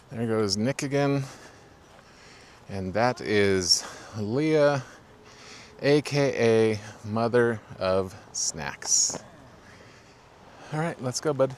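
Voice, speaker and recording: A man speaks at medium pitch and ordinary pitch variation, at a very slow pace with long, frequent pauses. Noticeable background noise runs underneath. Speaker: RV travel vlogger. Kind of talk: walking tour vlog. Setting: outdoors, campground by river.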